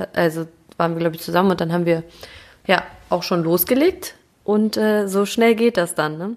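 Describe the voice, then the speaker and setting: Here a woman speaks with a fairly low voice at a moderate pace and ordinary pitch variation. She leaves long, frequent pauses. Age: 30s. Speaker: footballer's wife and mother. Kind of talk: casual chat.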